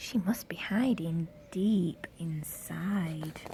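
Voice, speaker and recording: In a put-on character voice, a woman speaks very slowly at a fairly low pitch, with light background noise behind her. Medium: read story.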